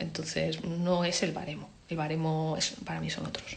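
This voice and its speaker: A woman's lively intonation comes through clear background noise and audible room echo. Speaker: advertising creative director. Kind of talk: talk with Q&A. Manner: casual.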